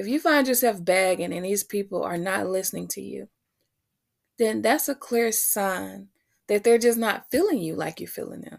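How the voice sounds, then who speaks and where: At a moderate pace, a woman with a medium pitch speaks in an animated tone on a very clean recording with a silent background. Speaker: podcast and web radio host. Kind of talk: warm motivational pep talk, heartfelt and sincere, like a personal sermon. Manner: animated, encouraging, earnest, direct address to listeners.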